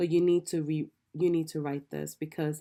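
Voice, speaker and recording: The tone is dark and mellow, delivered in a monotone, flat intonation at a moderate pace. The recording is very clean, with a silent background. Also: woman. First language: not English. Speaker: online business coach. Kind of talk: tutorial. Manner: many filler ums and repetitions.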